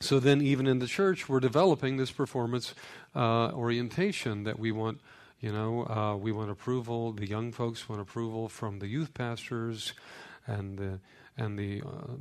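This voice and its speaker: This man speaks at a moderate pace. His pitch varies in an ordinary way. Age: 50s. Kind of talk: teaching talk on faith. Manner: hesitant, many fillers.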